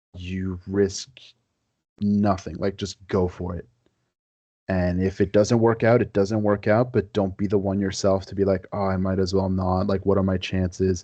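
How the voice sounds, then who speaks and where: Against a quiet background, a man speaks with a very deep, low pitch and a dark, mellow tone. His delivery is monotone and flat, at a moderate pace. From Quebec. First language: French. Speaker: historian. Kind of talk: podcast interview.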